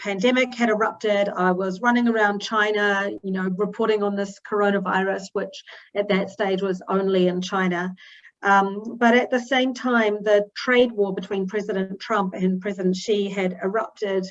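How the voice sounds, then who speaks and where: A woman of medium pitch speaks with a New Zealand accent. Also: moderate pace. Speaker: newspaper editor, journalist. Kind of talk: talk to an online audience. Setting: video call. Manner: many fillers (um, uh).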